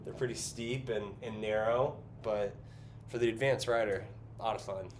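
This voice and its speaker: A man with a Californian accent, medium pitch, fairly even intonation and a moderate pace, in audible room echo. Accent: Californian American English. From US West Coast, San Francisco Bay Area. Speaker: artist and livestreamer. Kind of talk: casual livestream chat while painting. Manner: filler-heavy, hesitant.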